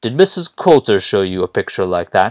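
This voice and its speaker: Putting on a character voice, a man talks at a fairly quick pace and medium pitch, the sound dry and close with no echo. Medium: read story. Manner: commanding, probing.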